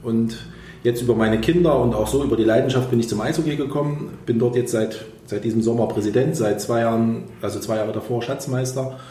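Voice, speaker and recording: Speaking at a fairly quick pace, a man keeps a medium pitch and fairly even intonation. Audible room echo and noticeable background noise fill the recording. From Thuringia, Germany (Erfurt). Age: 40s. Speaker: engineering firm owner and ice hockey club president. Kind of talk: podcast interview.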